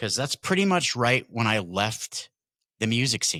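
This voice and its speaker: Loud and with a bright, sharp tone, a man speaks at a moderate pace with ordinary pitch variation in a dry, close sound with no echo on a very clean recording with a silent background. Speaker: card breaker and podcast host. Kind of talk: casual chat.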